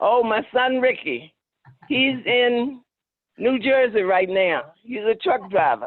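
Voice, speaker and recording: A woman with a high pitch speaks at a very slow pace with lively intonation. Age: 70s. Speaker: family member. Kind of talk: casual chat. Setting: video call.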